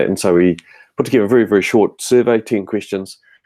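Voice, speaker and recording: A man talks at a very fast pace in a dark, mellow tone. The sound is dry and close, with no echo. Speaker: webinar host, educator. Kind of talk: webinar discussion. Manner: hesitant, many fillers.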